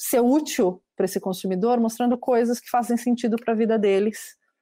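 Dark, mellow tone from a woman with fairly even intonation at a moderate pace, in a very clean recording with a silent background. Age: 40s. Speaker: marketing executive. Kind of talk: interview.

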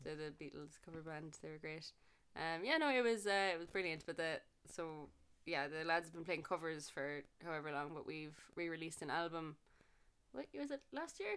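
On a very clean recording with a silent background, a woman with a Cork accent speaks at a moderate pace and a fairly low pitch. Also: ordinary pitch variation. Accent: Cork Irish. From Ireland, Cork. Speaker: musician and music teacher. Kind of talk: casual chat.

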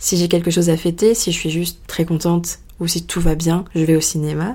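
A woman speaks in a fairly low voice. Her pace is fairly slow. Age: 20s. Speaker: podcast host. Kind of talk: solo monologue.

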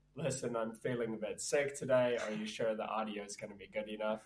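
A croaky, put-on character voice at a very fast pace, fairly even in intonation but with big swings in loudness. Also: man, medium pitch for a man. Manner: hoarse, apologetic.

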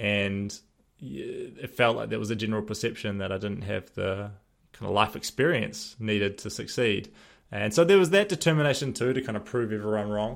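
In a New Zealand accent, the speaker goes at a fairly quick pace with ordinary pitch variation on a very clean recording with a silent background. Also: man, fairly low pitch for a man. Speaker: podcast host and former real estate agent. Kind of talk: solo podcast monologue.

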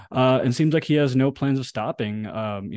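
Over a quiet background, a man speaks at a fairly quick pace with fairly even intonation, the sound dry and close with no echo. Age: 30s. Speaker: podcast host. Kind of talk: casual chat. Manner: halting.

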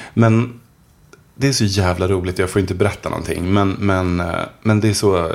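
In an unremarkable speaking voice, a man talks at a moderate pace with fairly low pitch and fairly even intonation. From Swedish mill town. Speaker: author. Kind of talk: casual chat.

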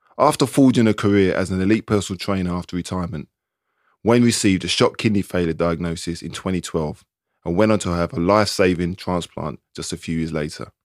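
In a London accent, a man with a very deep, low voice speaks at a very fast pace with ordinary pitch variation. The sound is dry and close with no echo, very clean, with a silent background. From East London. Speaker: podcast host, former footballer. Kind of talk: casual chat; scripted narration.

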